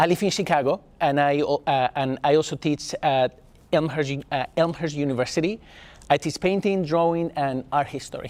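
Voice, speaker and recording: A man with a Spanish accent at a fairly high pitch, fairly even intonation and a moderate pace, on a very clean recording with a silent background. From Spain. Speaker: artist and art teacher. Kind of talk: talk to a class.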